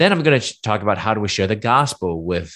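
Against a quiet background, a man speaks at a fairly quick pace. He has an ordinary speaking voice with lively intonation. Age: 50s. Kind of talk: talk with slides. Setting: live stream.

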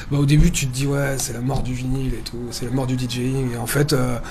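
Talking at a very fast pace, a man uses a fairly high pitch. Audible room echo and noticeable background noise surround him. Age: 30s. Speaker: DJ and radio host. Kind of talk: interview.

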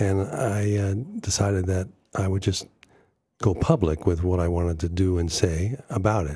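A man with an American accent speaks at a moderate pace, his very deep, low voice dark, mellow and somewhat breathy, with ordinary pitch variation. The recording is very clean, with a silent background. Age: 70s. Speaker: prank artist. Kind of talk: radio interview. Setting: studio.

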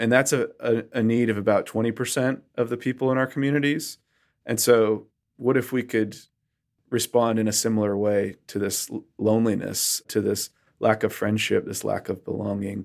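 A plain, everyday voice, a man at medium pitch with fairly even intonation and a moderate pace, on a very clean recording with a silent background. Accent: American. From Western Massachusetts. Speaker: minister. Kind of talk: interview conversation.

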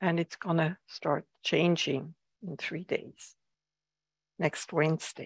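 Very slowly, with long, frequent pauses, a woman speaks in a fairly low, somewhat breathy voice with monotone, flat intonation, the sound dry and close with no echo. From Switzerland. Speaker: Zen teacher. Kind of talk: dharma talk. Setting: meditation hall with live and online audience.

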